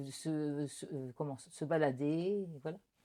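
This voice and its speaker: A woman speaks in a very deep, low pitch with ordinary variation. Her tone is dark and mellow. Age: 60s. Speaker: retired local candidate. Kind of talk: interview. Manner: halting, frequent hesitations.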